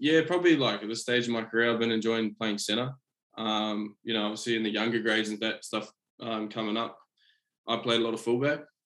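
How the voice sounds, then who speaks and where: A man with a New Zealand accent, very fast, with fairly even intonation. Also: medium pitch for a man. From New Zealand, Auckland. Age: 20s. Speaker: rugby league player. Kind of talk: casual interview. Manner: halting.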